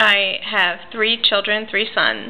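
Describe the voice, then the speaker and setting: At a fairly slow pace, a woman with an American accent speaks at a medium pitch. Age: 40s. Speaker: reborn doll artist and writer. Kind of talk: casual personal vlog. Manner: casual, with frequent fillers.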